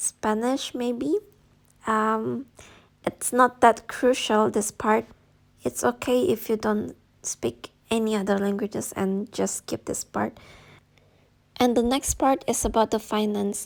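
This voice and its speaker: A woman with an Indonesian accent speaks at a very slow pace, her pitch fairly high, with long, frequent pauses. The recording is very clean, with a silent background. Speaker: YouTuber giving study-abroad advice. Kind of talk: tutorial. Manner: casual, with fillers.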